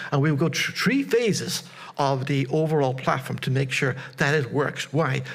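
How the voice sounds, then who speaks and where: Over noticeable background noise and audible room echo, a man speaks at a fairly high pitch with ordinary pitch variation and very even loudness. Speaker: conference presenter. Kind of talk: conference presentation. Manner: fast; repetitive stammering.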